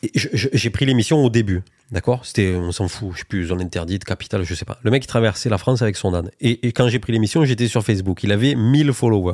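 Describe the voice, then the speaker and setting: Very fast and fairly low in pitch, a man speaks with ordinary pitch variation in a dry, close sound with no echo. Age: 30s. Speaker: podcast host. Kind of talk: casual chat.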